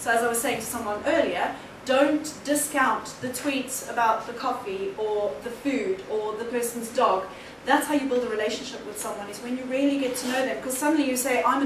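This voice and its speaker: Speech comes at a fairly quick pace with ordinary pitch variation and big swings in loudness. Room echo is audible, along with noticeable background noise. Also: woman. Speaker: keynote speaker on social media. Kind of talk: conference presentation. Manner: fast.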